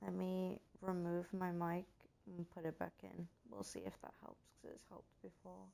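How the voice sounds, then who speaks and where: A quiet woman's voice, very deep and low in pitch, dark and mellow in tone, with very wide pitch swings, big swings in loudness and a moderate pace. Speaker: game streamer. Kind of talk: casual live stream commentary. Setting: live stream. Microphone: too quiet.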